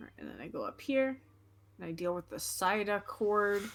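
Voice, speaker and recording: A normal speaking voice at a moderate pace. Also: woman. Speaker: streamer. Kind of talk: casual chat.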